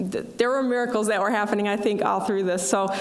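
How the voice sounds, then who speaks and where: A woman's fairly high, fairly even voice with audible room echo and noticeable background noise. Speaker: dean of student affairs. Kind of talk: ceremony speech.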